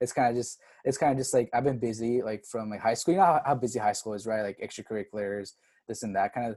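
A man talks very fast in a medium pitch with a dark, mellow tone against a quiet background. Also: ordinary pitch variation. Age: 20s. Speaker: recent college graduate, aspiring doctor. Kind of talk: casual interview.

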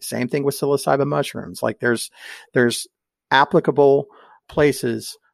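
An American-accented man talks in a fairly high pitch with some vocal fry. The sound is dry and close with no echo, and the recording is very clean against a silent background. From Oklahoma. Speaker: libertarian activist. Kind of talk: casual chat. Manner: animated.

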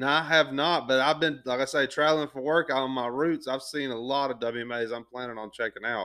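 This man talks at a fairly quick pace with hardly any pauses, in a Southern US accent. His pitch is medium and his intonation fairly even. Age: 20s. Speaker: podcast host. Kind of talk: casual chat.

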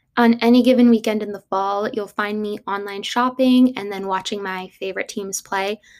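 Her a normal speaking voice sits at a fairly high pitch for a woman, with ordinary pitch variation. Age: 20s. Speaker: podcast host. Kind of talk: casual monologue.

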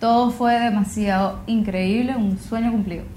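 A woman speaks slowly-ish in a fairly high, somewhat breathy voice with monotone, flat intonation. Room echo is audible. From Venezuela, Gran Sabana region. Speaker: singer-songwriter and environmental activist. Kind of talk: interview. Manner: hesitant, many fillers and repetitions.

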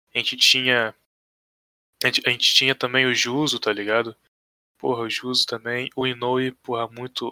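A man speaks at a medium pitch and moderate pace, his bright, sharp tone held monotone and flat, with long, frequent pauses. The sound is dry and close, with no echo. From Brazil, Rio de Janeiro state (Pinheiral). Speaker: esports coach and manager. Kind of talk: casual chat.

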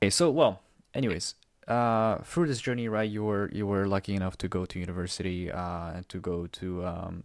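On a very clean recording with a silent background, a man talks in a plain, everyday voice at a fairly quick pace, fairly low in pitch with ordinary pitch variation. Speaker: podcast host. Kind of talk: casual chat.

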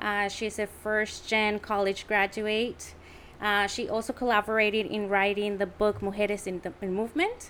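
A woman with a Mexican accent speaks at a moderate pace and medium pitch in a monotone, flat intonation. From Tijuana, Mexico. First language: Spanish. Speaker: podcast co-host. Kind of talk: casual interview.

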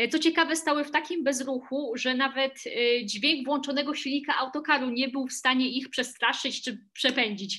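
With a bright, sharp tone, a woman's high voice is raised and projected. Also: quiet background. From Silesia, Poland. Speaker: tour guide. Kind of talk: interview. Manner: hesitant with fillers.

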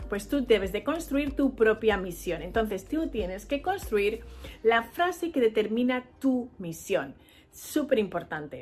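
Using very wide pitch swings and vocal fry, a woman speaks at a fairly slow pace with fairly high pitch. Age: 40s. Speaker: podcast host. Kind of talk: solo motivational talk.

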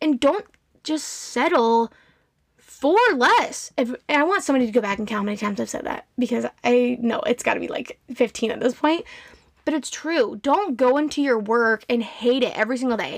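With an animated tone and a high pitch, a woman talks at a moderate pace, her pitch varying in an ordinary way. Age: 20s. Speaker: podcast host and nursing student. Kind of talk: casual monologue. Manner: loud. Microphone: audio too loud, echoey room.

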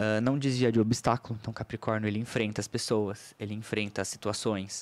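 A man speaks in a fairly low, flat monotone. The recording is very clean, with a silent background. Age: 30s. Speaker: astrologer. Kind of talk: casual chat. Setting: studio.

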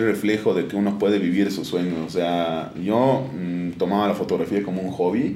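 A man with a dark, mellow tone speaks at a fairly slow pace, with audible echo in the room. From Bolivia, Oruro. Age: 20s. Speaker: sports photographer. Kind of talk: interview. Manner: halting, many repetitions and fillers.

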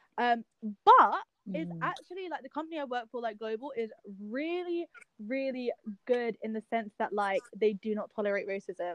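A woman speaks at a moderate pace with a London accent. Her pitch swings very widely, and the sound is dry and close with no echo. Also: fairly high pitch for a woman. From England. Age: young. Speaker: podcast host, junior content creator. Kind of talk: casual chat.

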